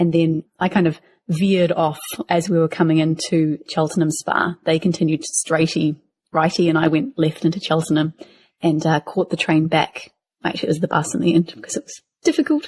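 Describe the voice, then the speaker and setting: A woman with a New Zealand accent speaks at a fairly quick pace, somewhat breathy and with fairly even intonation. The sound is dry and close, with no echo. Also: fairly low pitch for a woman. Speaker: podcast co-host. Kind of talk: casual chat.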